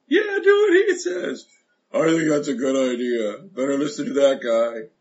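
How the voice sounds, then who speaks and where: A man talks in a put-on character voice at a moderate pace. His pitch sits fairly high. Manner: disguised, different voice.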